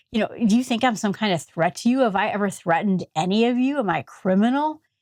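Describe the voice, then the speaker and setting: On a very clean recording with a silent background, a woman talks at a very fast pace with an Upper Michigan accent. Her tone is animated and her intonation lively. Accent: Yooper. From US Upper Midwest, Michigan Upper Peninsula. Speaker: Bible teacher. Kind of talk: Bible study talk. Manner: animated, conversational.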